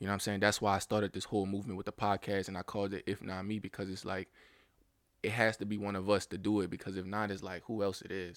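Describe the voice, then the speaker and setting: A man talks at a very fast pace. His intonation is monotone and flat, on a very clean recording with a silent background. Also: fairly low pitch for a man. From US South, New Orleans. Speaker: podcast host. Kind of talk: solo monologue podcast. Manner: casual, profane.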